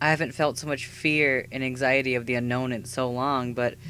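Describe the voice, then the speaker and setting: The man's tone sounds bright and sharp. He talks at a moderate pace. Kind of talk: scripted personal video essay narration. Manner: earnest, emotional.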